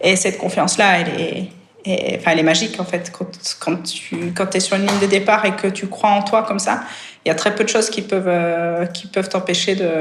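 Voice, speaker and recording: A woman speaks at a moderate pace and medium pitch with monotone, flat intonation. Room echo is audible. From Switzerland. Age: 30s. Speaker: professional triathlete. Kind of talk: podcast interview. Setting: podcast. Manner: hesitant, many fillers.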